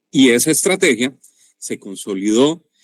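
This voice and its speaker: A man with a Colombian accent in a dry, close sound with no echo. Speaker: sales and marketing expert, workshop presenter. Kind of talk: online workshop presentation.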